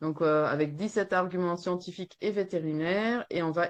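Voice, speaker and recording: Against a quiet background, a woman with a Flemish accent speaks at a medium pitch with ordinary pitch variation. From Flanders, Belgium. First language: Dutch (Flemish) (speaking French). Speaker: veterinarian and horse welfare activist. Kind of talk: webinar presentation read from a text. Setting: webinar.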